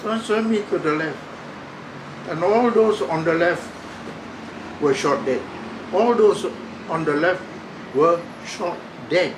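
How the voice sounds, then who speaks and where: A high-pitched man at a fairly slow pace, ordinary pitch variation and long, frequent pauses, with audible room echo and noticeable background noise. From Singapore. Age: 90s. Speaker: war survivor. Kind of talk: testimony. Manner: halting.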